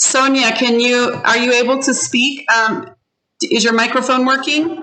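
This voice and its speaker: Amid audible room echo, a woman uses a raised, projected voice at high pitch and a moderate pace, her loudness very even throughout. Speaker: ESL teacher. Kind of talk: online class. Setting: video call. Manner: animated.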